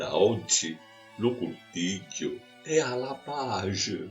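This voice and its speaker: A speaker with a Sicilian accent talks at a very slow pace. Music plays in the background. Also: man. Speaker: poet. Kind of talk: poetry reading.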